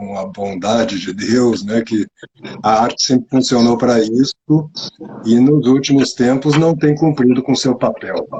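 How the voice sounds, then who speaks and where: Using an ordinary speaking voice, a man talks at medium pitch and a fairly slow pace with ordinary pitch variation. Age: 60s. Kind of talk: interview. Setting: live stream video call.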